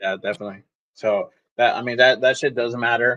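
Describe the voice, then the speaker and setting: The recording is dry and close, with no echo. A man speaks at a medium pitch with an American accent. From California. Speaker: football fan commentator. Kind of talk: casual chat.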